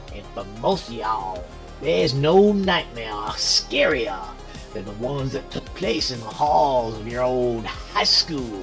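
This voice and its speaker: Clear music plays in the background behind a put-on character voice. It speaks at a fairly slow pace with a low-to-middle pitch. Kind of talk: horror host monologue.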